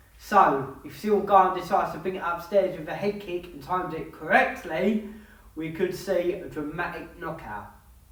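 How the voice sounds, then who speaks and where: The speaker has an English accent and keeps a moderate pace. Noticeable background noise runs under the voice. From England. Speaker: MMA YouTuber giving fight predictions. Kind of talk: fight analysis monologue.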